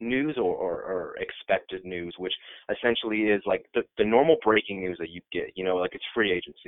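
An ordinary speaking voice from a man with an American accent, fairly low in pitch, with ordinary pitch variation. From Iowa, US Midwest. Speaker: sports website editor. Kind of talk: casual chat.

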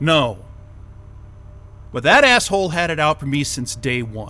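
In a put-on character voice, a man talks at a fairly slow pace with a fairly high pitch, big pitch swings and a bright, sharp tone.

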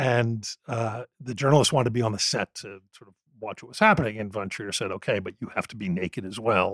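In an ordinary speaking voice, a man at a medium pitch talks at a fairly quick pace with hardly any pauses, ordinary pitch variation and big swings in loudness, in a dry, close sound with no echo. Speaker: film podcast host. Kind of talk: casual interview.

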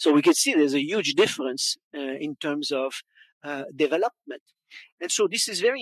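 A man with a Quebec accent talks at a moderate pace in a fairly high voice, with ordinary pitch variation. The sound is dry and close with no echo, and the background is quiet. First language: French. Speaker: wine educator and consultant. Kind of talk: conference talk. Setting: stage with audience.

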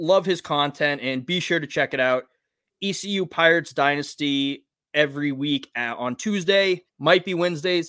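A man with an unremarkable speaking voice talks at a moderate pace, his pitch fairly high with ordinary variation, on a very clean recording with a silent background. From Massachusetts. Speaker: podcast host. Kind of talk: casual chat.

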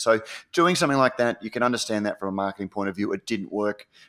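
Speaking with an Australian accent, a man at medium pitch uses ordinary pitch variation. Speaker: podcast co-host. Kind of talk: casual chat. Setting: online call recording.

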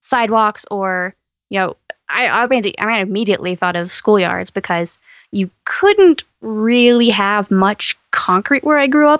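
A woman with an American accent at a moderate pace and medium pitch, heard against a quiet background with a dry, close sound and no echo. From East Texas. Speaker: science podcast host. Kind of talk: casual chat.

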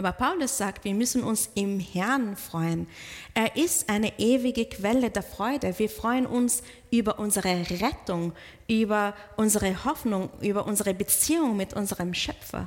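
In a non-native accent, the voice moves at a fairly slow pace with ordinary pitch variation. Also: woman, fairly high pitch for a woman. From outside German-speaking countries. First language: not German (speaking German). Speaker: pastor. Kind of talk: sermon. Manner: halting.

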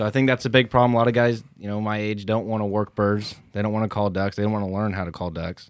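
A man's fairly low voice at a very fast pace, fairly even in intonation, with hardly any pauses, on a very clean recording with a silent background. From small town. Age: young. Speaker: duck hunter. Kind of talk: casual chat.

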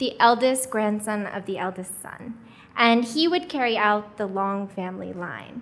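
In an American accent, a woman speaks at a fairly slow pace. Room echo is audible. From US, Korean adoptee. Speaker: storyteller, international adoptee. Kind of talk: live storytelling. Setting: stage with audience.

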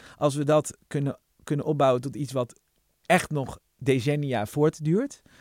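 In a normal speaking voice, a man with a fairly high pitch talks at a fairly slow pace with fairly even intonation, the sound dry and close with no echo. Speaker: podcast host, journalist. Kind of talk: casual chat.

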